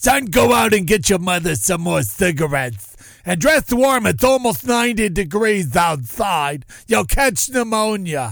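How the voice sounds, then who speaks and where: A man's raspy, put-on character voice, high in pitch and at a fairly slow pace. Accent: Jersey. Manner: nagging, motherly.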